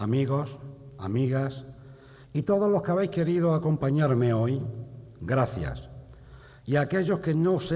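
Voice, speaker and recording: A solemn, somewhat breathy tone at a fairly slow pace, with lively intonation. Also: man. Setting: stage with audience in theatre. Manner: solemn, measured, rhetorical, fervent.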